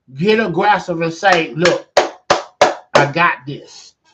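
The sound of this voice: A man speaks slowly with a fairly high pitch and ordinary pitch variation. His tone is fairly bright, and the room echo is audible.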